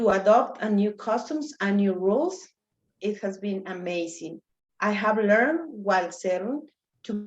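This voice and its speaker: A woman speaks with a Mexican accent. Her pitch sits in the medium range. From Mexico City. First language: Spanish. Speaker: immigrant speaker, geologist. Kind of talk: personal story talk.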